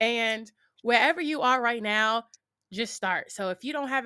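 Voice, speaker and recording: A woman with a high pitch and a bright, sharp tone at a moderate pace with ordinary pitch variation, in dry, close sound with no echo. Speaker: content creator and streamer. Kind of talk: casual interview chat.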